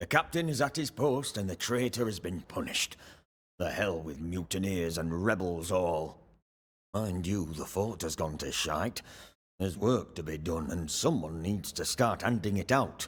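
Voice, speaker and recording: A man speaks in a put-on character voice, very deep and low, gruff and raspy. His intonation is lively and his pace moderate. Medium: video game. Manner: gruff, surly.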